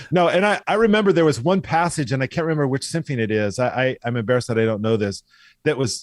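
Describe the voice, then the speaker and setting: A man with a General American accent speaks at a very fast pace in a medium pitch, his animated tone full of very wide pitch swings, on a very clean recording with a silent background. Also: dry, close sound with no echo. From US Pacific Northwest, Eastern Washington. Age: 60s. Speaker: orchestral violist. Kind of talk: podcast interview.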